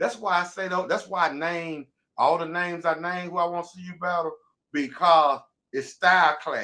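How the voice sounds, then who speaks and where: A man's high-pitched, animated voice with a bright, sharp tone, in an Alabama accent. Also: moderate pace, big swings in loudness. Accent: Southern US (Alabama). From US South (Birmingham, Alabama). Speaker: interview show host. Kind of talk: casual chat.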